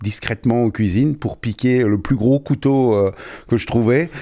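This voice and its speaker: A man with a dark, mellow tone speaks at a fairly slow pace with ordinary pitch variation. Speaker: chef. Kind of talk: casual chat. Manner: halting.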